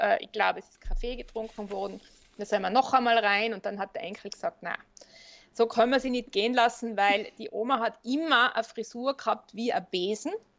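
A woman speaks in a plain, everyday voice at a fairly high pitch. Her pace is fairly quick, with ordinary pitch variation. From Austria, Tyrol. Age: 50s. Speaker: funeral director and psychologist. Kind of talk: interview.

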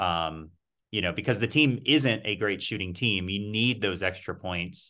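Over a quiet background, a man with a bright, sharp tone talks at a moderate pace with ordinary pitch variation. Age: 40s. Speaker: sports blogger. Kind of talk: casual chat.

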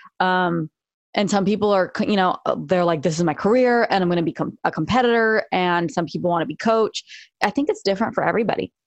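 Against a quiet background, a woman with an American accent talks very fast at medium pitch, with very even loudness, ordinary pitch variation and a dry, close sound with no echo. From Los Angeles area. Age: 40s. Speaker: jiu-jitsu and self-defense instructor. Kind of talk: casual chat.

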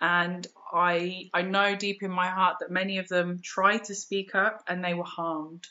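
A woman with a British accent speaks at a fairly slow pace, her medium-pitched voice monotone and flat. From England. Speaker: yoga teacher and spiritual educator. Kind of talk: interview. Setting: remote call.

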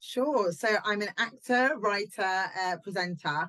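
The speaker is a woman. She has a southern English accent. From southern England, Southampton. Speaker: actress and comedian. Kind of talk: casual interview chat.

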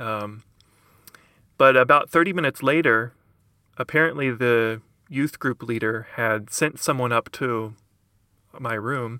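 With an American accent and a bright, sharp tone, the speaker goes at a fairly slow pace with long, frequent pauses and ordinary pitch variation, in a dry, close sound with no echo. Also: man, medium pitch for a man. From Kentucky, US South. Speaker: writer and book podcaster. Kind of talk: casual interview.

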